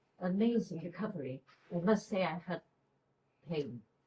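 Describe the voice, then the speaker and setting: A woman speaks at a medium pitch at a fairly slow pace. Her voice is somewhat breathy, with lively intonation. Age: 80s+. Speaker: patient. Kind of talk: testimony. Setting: clinic event room with audience.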